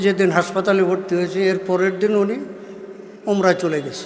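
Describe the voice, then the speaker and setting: Noticeable background noise and audible room echo. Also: man. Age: 70s. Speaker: Islamic preacher. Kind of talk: sermon. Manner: call-and-response, rhetorical questions to audience.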